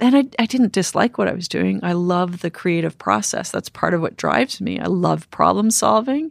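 The speech moves at a moderate pace with hardly any pauses. The sound is dry and close, with no echo. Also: woman. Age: 50s. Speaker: cave diver and explorer. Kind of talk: interview conversation.

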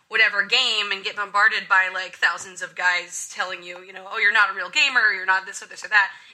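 Medium-pitched female speech at a fairly quick pace, with noticeable background noise. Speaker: YouTuber. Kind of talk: casual panel discussion.

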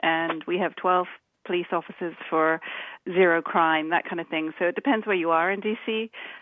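A woman with a British accent speaks at a fairly low pitch and a moderate pace. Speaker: author. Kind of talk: casual interview.

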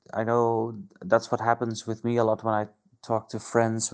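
Monotone, flat delivery from a man with a Dutch accent, at medium pitch and a moderate pace. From Netherlands. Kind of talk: recorded voice message.

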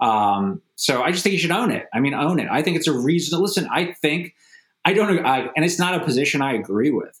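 Lively in intonation, a man with an American accent talks at a very fast pace. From United States. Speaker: novelist and war veteran. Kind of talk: interview.

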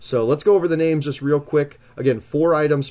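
A man with an American accent and a dark, mellow tone speaks at a fairly quick pace. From Nebraska. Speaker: sports card show co-host. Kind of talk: live webcast with box breaks.

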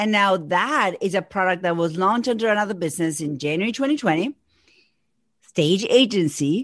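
At a moderate pace, a woman speaks in an Argentine accent. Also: quiet background. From Argentina. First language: Spanish. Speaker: business coach. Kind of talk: casual interview.

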